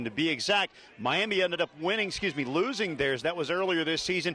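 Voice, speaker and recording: Against noticeable background noise, the speaker talks very fast with lively intonation. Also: man. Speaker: sports broadcaster. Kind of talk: sideline sports reporting.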